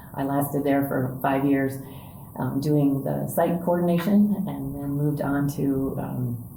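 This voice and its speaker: With an American accent, the speaker talks at a fairly slow pace amid audible room echo and noticeable background noise. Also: woman, very deep, low pitch for a woman, ordinary pitch variation. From US Midwest, Indiana. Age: 60s. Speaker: church staff member and spiritual director trainee. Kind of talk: podcast interview, casual conversation. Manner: conversational with many fillers.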